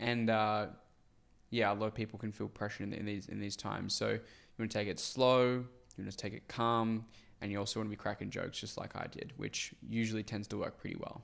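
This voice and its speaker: With an Australian accent, a man speaks at a fairly quick pace in a fairly low, monotone, flat voice on a very clean recording with a silent background. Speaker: sales coach. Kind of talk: tutorial commentary.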